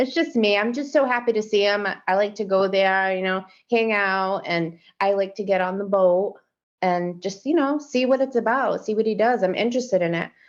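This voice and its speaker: Against a quiet background, a woman with a normal speaking voice and medium pitch talks at a moderate pace with ordinary pitch variation. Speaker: fisherman's partner and mother. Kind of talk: podcast interview.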